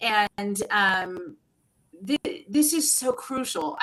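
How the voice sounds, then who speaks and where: Her pitch swinging very widely, a woman speaks at a very slow pace. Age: 60s. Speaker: career coach. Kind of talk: interview.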